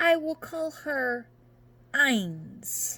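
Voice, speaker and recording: A female-sounding voice does a put-on character voice. The pitch sits high for a woman. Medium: read story. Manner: grudging, flat.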